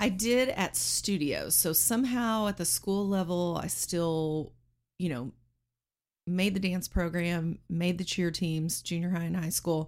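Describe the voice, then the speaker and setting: An American-accented woman talks fairly slowly at a fairly low pitch. She has a plain, everyday voice with ordinary pitch variation. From Texas, Lubbock (until 12), then Arizona. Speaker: NBA dance team manager. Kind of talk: casual interview chat. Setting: studio. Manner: laughs often.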